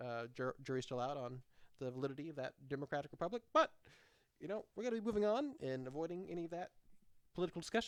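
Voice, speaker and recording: Fairly high in pitch, a man speaks at a very fast pace with lively intonation in a dry, close sound without echo. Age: 20s. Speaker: podcast co-host. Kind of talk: casual discussion while reading a document aloud.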